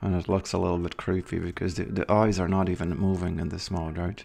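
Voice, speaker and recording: A put-on character voice from a man, very deep and raspy, flat and monotone at a very fast pace. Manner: talking through clenched teeth.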